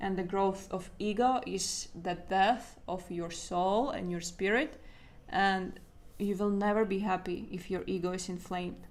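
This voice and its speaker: With a non-native accent and fairly even intonation, the speaker goes at a fairly slow pace amid audible room echo. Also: woman, medium pitch for a woman. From Latvia. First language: Latvian. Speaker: artist and art coach. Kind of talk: livestream talk to viewers. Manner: halting.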